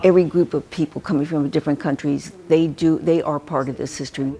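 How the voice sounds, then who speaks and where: A woman with a Pacific Northwest accent, very deep and low in pitch, at a fairly quick pace. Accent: American, Pacific Northwest. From Seattle, US Pacific Northwest. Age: 80s+. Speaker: historian and founder of a historical society. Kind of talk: interview.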